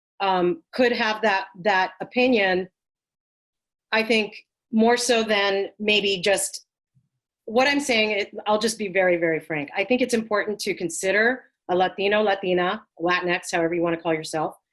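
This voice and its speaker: Using ordinary pitch variation, a woman speaks at a medium pitch and a moderate pace. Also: quiet background. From US, Puerto Rican and Guatemalan family. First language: Spanish. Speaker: costume designer. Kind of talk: panel discussion. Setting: video call.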